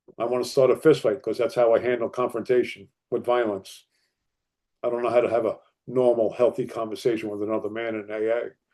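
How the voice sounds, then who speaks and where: Speaking at a fairly quick pace with an American accent, a man at a medium pitch has a dark, mellow tone over a quiet background. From northern New Jersey. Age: 60s. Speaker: recovery speaker. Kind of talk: testimony. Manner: animated.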